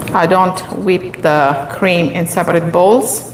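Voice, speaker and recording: The speech moves at a very slow pace. Noticeable background noise and audible room echo are present. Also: woman. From Italy, Molise (central-south). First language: Italian. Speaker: baking instructor. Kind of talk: live cooking tutorial.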